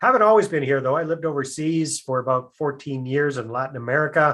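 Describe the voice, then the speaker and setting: A man with a Canadian accent has a normal speaking voice. He talks at a fairly quick pace against a quiet background. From Canada. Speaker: real estate investor. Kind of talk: podcast interview.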